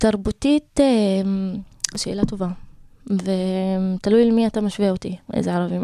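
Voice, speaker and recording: Dark, mellow, medium-pitched woman's voice with an Arabic accent and fairly even intonation, dry and close with no echo, on a very clean recording with a silent background. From Israel, Galilee (Druze community, Karmiel area). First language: Arabic (speaking Hebrew). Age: 20s. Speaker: lawyer and social activist. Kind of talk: interview. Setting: radio studio. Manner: halting.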